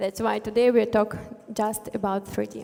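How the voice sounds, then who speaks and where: A woman with a Russian accent. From Russia, Tver. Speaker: front-end developer. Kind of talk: conference talk. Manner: halting, many fillers.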